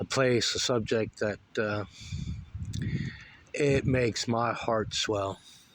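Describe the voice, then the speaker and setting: Noticeable background noise accompanies a man with an American accent and a fairly low pitch. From US South (Florida, Alabama). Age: 40s. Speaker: political commentary vlogger. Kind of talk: casual vlog monologue. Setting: outdoors by the sea. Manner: halting, many filler words.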